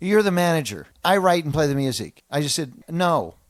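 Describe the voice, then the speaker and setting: A man speaks in an animated tone. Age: 60s. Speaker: guitarist. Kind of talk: interview.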